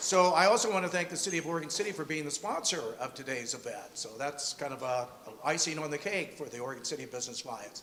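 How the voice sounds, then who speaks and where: A man talks at a very fast pace with hardly any pauses, his fairly high voice full of lively intonation. Noticeable background noise runs throughout. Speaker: event host. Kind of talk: event introduction. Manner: loud.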